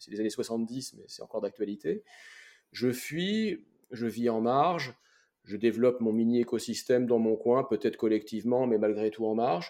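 Dark, mellow tone in a man's moderately paced, medium-pitched voice with ordinary pitch variation. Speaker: podcast host and career coach. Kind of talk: interview conversation. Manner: halting with many fillers.

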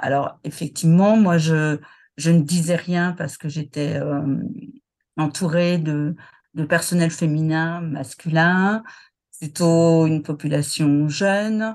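A woman's fairly low voice at a very slow pace, with a quiet background. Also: fairly even intonation. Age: 60s. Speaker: retiree, former HR manager. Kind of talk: personal testimony interview. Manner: hesitant, many fillers and repetitions.

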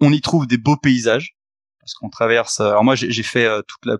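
Against a quiet background, a man talks at a very fast pace with fairly even intonation, the sound dry and close with no echo. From Haute-Savoie, French Alps. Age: 30s. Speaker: investor and entrepreneur. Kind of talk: podcast interview. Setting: meeting room in a coworking space, remote.

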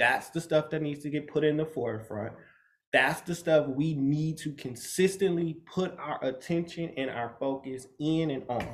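Somewhat breathy and fairly high-pitched, this man speaks at a moderate pace with ordinary pitch variation. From Michigan, US (Grand Rapids). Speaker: fashion stylist and designer. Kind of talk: casual interview chat.

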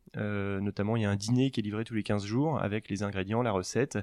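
A man's fairly low voice at a fairly quick pace, fairly even in intonation, dry and close with no echo, over a quiet background. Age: 40s. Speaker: startup founder. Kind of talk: interview. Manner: halting.

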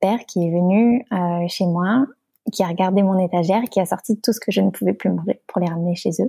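A dark, mellow tone comes through at a moderate pace in a dry, close sound with no echo. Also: woman. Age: 20s. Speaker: pastry chef and entrepreneur. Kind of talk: casual interview. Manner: hesitant, many fillers.

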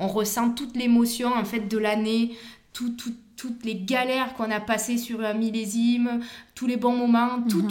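A woman of fairly high pitch at a moderate pace with fairly even intonation, amid noticeable background noise and audible room echo. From Provence, southern France (Vaucluse). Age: 30s. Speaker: winegrower. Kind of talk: interview. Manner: hesitant, many fillers.

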